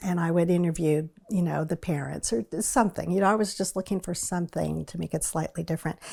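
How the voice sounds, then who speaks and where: At a very fast pace, a woman with an American accent speaks in a fairly low pitch with a dark, mellow tone, vocal fry and ordinary pitch variation. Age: 60s. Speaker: retired newspaper reporter. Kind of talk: oral history interview. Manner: conversational, some hesitations.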